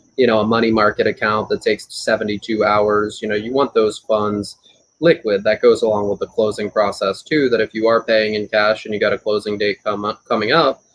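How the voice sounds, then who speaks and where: Fairly even intonation marks an ordinary speaking voice that moves at a fairly quick pace. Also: man, fairly low pitch for a man. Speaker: auctioneer. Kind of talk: expert interview answer about real estate auctions.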